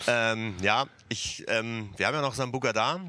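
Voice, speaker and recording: Bright and sharp in tone, a man's medium-pitched voice keeps fairly even intonation. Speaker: DJ. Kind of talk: casual livestream chat. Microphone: too quiet.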